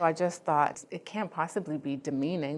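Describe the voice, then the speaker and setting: With a quiet background, a woman talks at a moderate speed. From Ghana, raised in Canada. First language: not English. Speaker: immigrant woman artist participant. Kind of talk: personal testimony interview.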